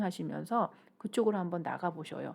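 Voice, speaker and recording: A woman talks with lively intonation. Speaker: shaman and career counselor. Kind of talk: YouTube talk on finding one's calling. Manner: halting, stumbles over pronunciation; conversational, informal.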